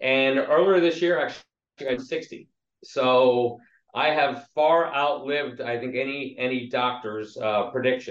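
An ordinary speaking voice with an American accent, ordinary pitch variation and a fairly slow pace. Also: man, medium pitch for a man. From southeast Pennsylvania, Lancaster area. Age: 60s. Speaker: labor relations executive. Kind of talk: interview.

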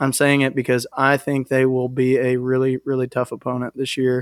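A man with a Texan accent and medium pitch speaks at a moderate pace in a monotone, flat intonation, with a dry, close sound and no echo. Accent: Texan Southern US. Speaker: sports podcast co-host. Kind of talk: casual chat.

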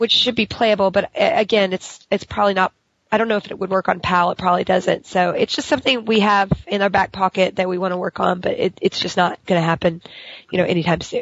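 A woman talks at a very fast pace. Her pitch is medium with ordinary variation. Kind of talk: Q&A with fans.

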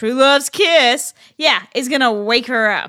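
In a very clean recording with a silent background, a woman raises and projects her high, bright, sharp voice, her pitch varying in an ordinary way. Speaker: podcast co-host. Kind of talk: casual chat.

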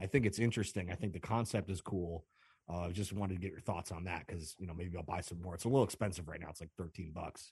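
Somewhat breathy, a man with an American accent speaks with very deep, low pitch at a very fast pace. His intonation is fairly even, his loudness swings widely, and the background is quiet. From Chicago. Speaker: caller, musician and DJ. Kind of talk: call-in chat.

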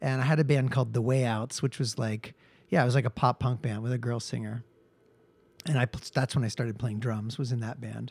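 Here a man with an American accent talks at a fairly quick pace, medium in pitch and somewhat breathy, with fairly even intonation. The recording is very clean, with a silent background. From Seattle, US. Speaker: musician and emergency nurse. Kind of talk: casual interview chat.

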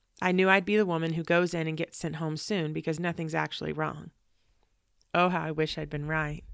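A woman's very deep, low voice, monotone and flat, at a fairly quick pace on a very clean recording with a silent background. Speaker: podcast host and storyteller. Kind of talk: literary audiobook-style reading of a personal memoir, read from a written script. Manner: sincere, faith-filled and earnest, hushed through the grief.

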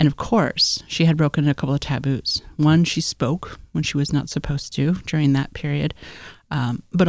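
The speaker talks at a moderate pace with an American accent. The intonation stays fairly even. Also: woman. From Alaska, US (Tlingit village of Hoonah). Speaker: anthropology graduate student. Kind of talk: interview, storytelling. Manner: vivid storyteller.

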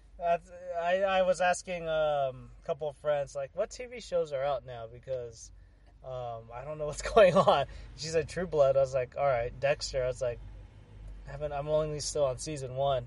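With a plain, everyday voice, a man in an American accent speaks at a moderate pace in a fairly high pitch, with ordinary pitch variation and big swings in loudness. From San Jose, California (Bay Area). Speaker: sports podcast co-host. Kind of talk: casual chat.

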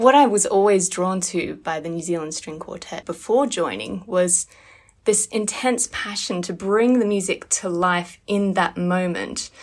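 A woman talks at a medium pitch and a fairly slow pace in an ordinary speaking voice. Her pitch varies in an ordinary way, while her loudness swings a lot. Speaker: violinist. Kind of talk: casual interview. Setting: video call.

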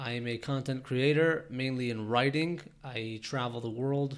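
With a Canadian accent, a man speaks in an unremarkable speaking voice at a medium pitch. He talks at a fairly slow pace with ordinary pitch variation. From Toronto, Canada. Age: 20s. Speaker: podcast host and entrepreneur. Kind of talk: solo podcast monologue.

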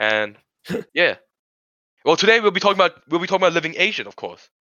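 A man speaks at a fairly quick pace with vocal fry and very wide pitch swings. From Sri Lanka, Korean family. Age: young. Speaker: student podcast host. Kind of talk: casual chat. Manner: halting.

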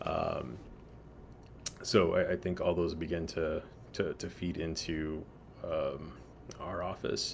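Very slow speech broken by long, frequent pauses. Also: man. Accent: American. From Texas, San Antonio. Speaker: architect and urban designer. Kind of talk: interview. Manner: halting, many fillers and repetitions.

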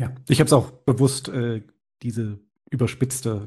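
Against a quiet background, a man speaks with a dark, mellow tone that is somewhat breathy. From Bavaria, small town. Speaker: podcast host. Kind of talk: interview.

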